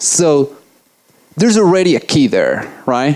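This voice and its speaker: The voice uses very wide pitch swings and carries an Italian accent. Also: man. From Italy. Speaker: software engineer giving a conference talk. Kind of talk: conference talk. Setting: stage with audience. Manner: fast; loud.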